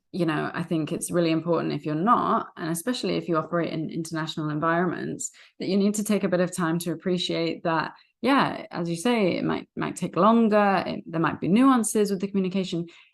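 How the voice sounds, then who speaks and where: Against a quiet background, a woman with a British accent talks at a very fast pace, her fairly low voice showing vocal fry and ordinary pitch variation. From Britain. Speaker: podcast host and recruiter. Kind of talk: podcast interview.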